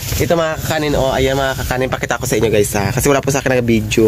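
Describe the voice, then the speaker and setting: A man talks at a very fast pace in a medium pitch. Noticeable background noise can be heard. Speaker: vlogger. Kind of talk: casual vlog narration. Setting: bank, then at home.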